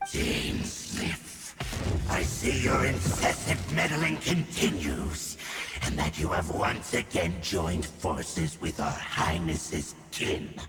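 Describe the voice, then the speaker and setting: A man does a cartoonish character voice, very deep and low, at a very slow pace. There is clear echo and clear background noise. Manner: cold, formal, zealous.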